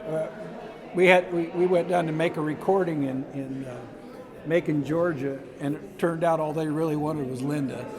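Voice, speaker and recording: Amid noticeable background noise and audible room echo, a man speaks at a moderate pace, his fairly high voice fairly even in intonation. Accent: American. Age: 70s. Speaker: musician. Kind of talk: interview.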